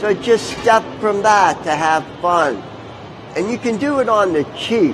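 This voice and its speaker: A man speaks at a fairly slow pace in a high voice with lively intonation, over noticeable background noise. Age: 60s. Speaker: tattoo artist and metal sculptor. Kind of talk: live demonstration talk. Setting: stage at a motorcycle show.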